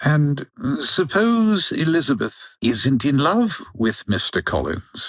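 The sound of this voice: Putting on a character voice, a man of medium pitch speaks at a slow pace with very wide pitch swings.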